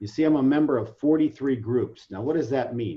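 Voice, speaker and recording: A man at a medium pitch speaks with a somewhat breathy voice. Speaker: webinar presenter. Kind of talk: online training presentation. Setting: video call.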